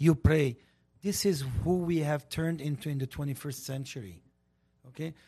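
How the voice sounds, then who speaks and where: Somewhat breathy and dark, mellow in tone, a man with an Armenian accent speaks at a fairly high pitch with ordinary pitch variation and long, frequent pauses. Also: moderate pace. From Lebanon. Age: 60s. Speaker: community media personality and commentator. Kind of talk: casual talk show discussion. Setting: studio. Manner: outspoken.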